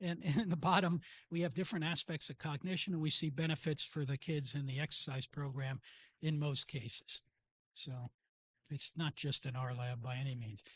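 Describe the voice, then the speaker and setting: At a fairly quick pace, a man talks in a fairly high pitch with a bright, sharp tone. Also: ordinary pitch variation, dry, close sound with no echo, quiet background. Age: 70s. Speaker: psychology professor and brain researcher. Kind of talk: conference lecture. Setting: conference talk with slides. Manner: fast.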